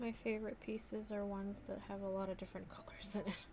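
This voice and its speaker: This is a woman speaking. Her pace is moderate. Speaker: crafter. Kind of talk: tutorial. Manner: casual.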